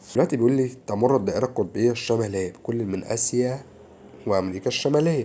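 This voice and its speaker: A man with an Egyptian accent, medium pitch and a dark, mellow tone, at a very fast pace with ordinary pitch variation. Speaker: social studies teacher. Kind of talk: lecture. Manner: animated.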